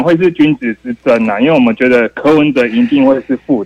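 A man with a Taiwanese accent talks at a moderate pace in a fairly high voice, his intonation lively. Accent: Taiwanese Mandarin. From Taiwan, Taichung. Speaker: caller. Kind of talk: call-in opinion. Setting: phone call.

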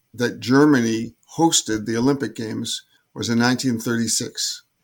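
This man has an unremarkable speaking voice at a medium pitch. He speaks at a fairly slow pace with fairly even intonation. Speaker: former Olympic sailor. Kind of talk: interview, recounting memories.

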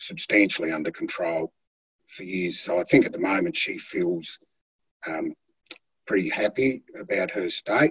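A man speaks at a fairly slow pace in an Australian accent. The sound is dry and close, with no echo. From Australia, Tasmania (Flinders Island). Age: 50s. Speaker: heart patient, boat builder. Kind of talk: interview testimony.

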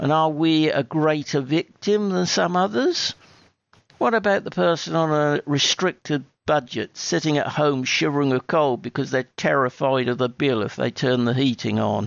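An ordinary speaking voice: a man with fairly high pitch. He keeps a moderate pace and very even loudness. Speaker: listener sending voice message. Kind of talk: recorded listener message.

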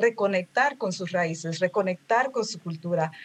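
A woman talks at a fairly slow pace with ordinary pitch variation. It is a plain, everyday voice. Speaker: language learning community founder. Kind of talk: interview.

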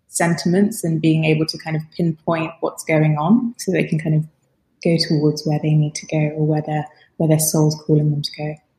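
A woman speaks at a moderate pace in a very deep, low, somewhat breathy voice with a dark, mellow tone and fairly even intonation. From Rwanda. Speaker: coaching company founder and technologist. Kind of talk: casual interview chat.

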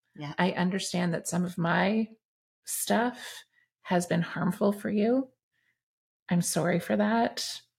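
A woman talks at a very slow pace with long, frequent pauses, fairly low pitch and vocal fry. Her intonation is lively, and the recording is very clean with a silent background. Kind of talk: casual chat.

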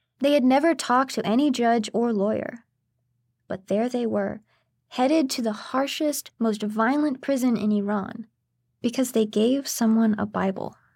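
With a plain, everyday voice, the speaker moves along at a moderate pace. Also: woman, fairly high pitch for a woman, ordinary pitch variation. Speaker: narrator. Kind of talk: true-crime narration. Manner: measured, grave, steady storytelling pace.

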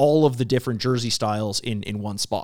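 A man with a normal speaking voice, lively intonation and a moderate pace. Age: 30s. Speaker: podcast host. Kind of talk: interview.

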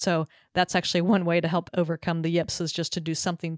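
With an American accent, a woman with an unremarkable speaking voice talks at a fairly quick pace at a fairly low pitch, in a dry, close sound with no echo and a very clean recording with a silent background. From Southern California. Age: 50s. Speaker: pickleball podcaster and sports psychologist. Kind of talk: interview.

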